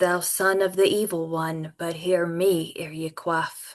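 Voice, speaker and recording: A put-on character voice speaks at a middle pitch. The pace is fairly slow. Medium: read story. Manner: archaic, solemn.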